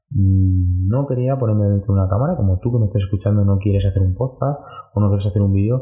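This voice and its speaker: A man at a very fast pace, fairly low in pitch, with ordinary pitch variation, very even loudness and music in the background. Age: 20s. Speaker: personal trainer and sports nutritionist. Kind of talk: solo podcast monologue. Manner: halting, many repetitions and fillers. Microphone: poor audio quality.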